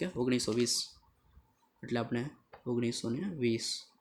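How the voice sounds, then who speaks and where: Soft-spoken, a man talks at a medium pitch. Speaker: accountancy teacher. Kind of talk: tutorial.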